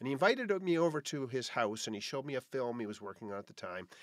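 The background is quiet, the sound dry with no echo. A man is speaking. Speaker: podcast host. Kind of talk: podcast monologue. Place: home room.

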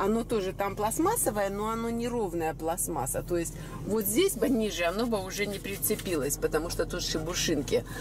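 A woman speaks at a medium pitch. Background noise is clearly audible.

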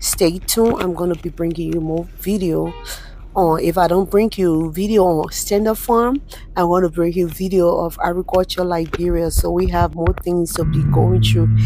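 A woman's voice at a moderate pace, dry with no echo, over light background noise. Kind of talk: casual vlog chat. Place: car. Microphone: phone near.

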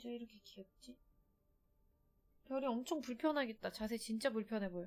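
At a moderate pace, a woman speaks with a fairly high pitch, ordinary pitch variation and big swings in loudness. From Seoul, South Korea. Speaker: game streamer. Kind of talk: casual chat. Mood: relaxed, chatty. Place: home room. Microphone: studio mic.

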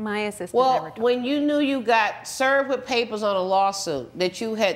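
The pace sits at a moderate level. Pitch swings very widely throughout. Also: woman. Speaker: TV judge. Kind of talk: courtroom ruling to litigant. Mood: stern, lecturing. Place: studio. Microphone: lapel.

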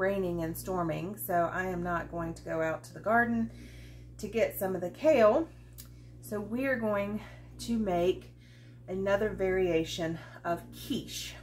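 A woman talks at a fairly slow pace. Light background noise can be heard. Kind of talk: cooking tutorial chat. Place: kitchen. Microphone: camera far.

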